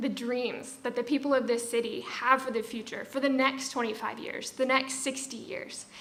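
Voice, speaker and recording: A high-pitched woman with an American accent, fairly even intonation and a moderate pace, amid audible room echo and noticeable background noise. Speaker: event host, festival committee member. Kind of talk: event introduction speech.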